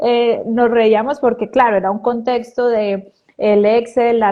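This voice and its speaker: A woman speaks with a Pereira accent. Her pitch is fairly high and her pace fairly slow. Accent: Pereira Colombian accent, kept. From Colombia, Pereira. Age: 30s. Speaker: biodecoding therapist, weight coach. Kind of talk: casual interview.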